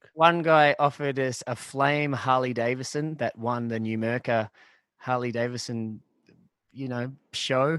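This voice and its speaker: A man with an Australian accent speaks at a fairly slow pace. His pitch is medium and his intonation fairly even. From Australia, Shepparton, Victoria. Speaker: pub band musician. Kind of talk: casual chat.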